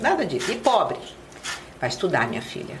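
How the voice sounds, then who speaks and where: A woman speaks with noticeable background noise. The room echo is audible. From Rio de Janeiro, Brazil. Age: 60s. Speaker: city councillor. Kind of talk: podcast interview. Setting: studio.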